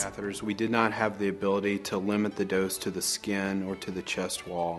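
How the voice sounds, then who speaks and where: A man talks at a fairly quick pace in a fairly low pitch with monotone, flat intonation. Music plays in the background. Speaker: radiation oncology clinician. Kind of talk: expert interview answer.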